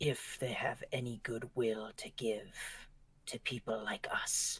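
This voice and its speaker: A put-on character voice whispers raspily at a fairly slow pace. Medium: actual play. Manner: dry, wry.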